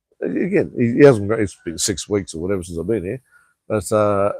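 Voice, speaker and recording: An Australian accent marks this man's fairly low voice, delivered at a fairly quick pace. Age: 50s. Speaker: vlogger. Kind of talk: casual chat.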